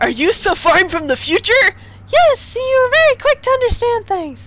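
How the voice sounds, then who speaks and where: Putting on a squeaky character voice at an extremely high pitch, a woman talks at a moderate pace amid clear background noise. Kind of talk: comic overacting. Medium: solo performance.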